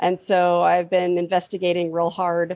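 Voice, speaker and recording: A woman's plain, everyday voice at medium pitch and moderate pace, with a dry, close sound and no echo. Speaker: panelist. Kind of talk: casual panel discussion. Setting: video call.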